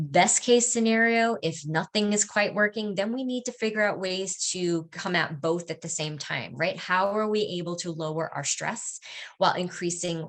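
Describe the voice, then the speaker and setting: A woman talks at a moderate pace in a plain, everyday voice with ordinary pitch variation. The background is quiet. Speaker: nutrition coach. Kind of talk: lecture.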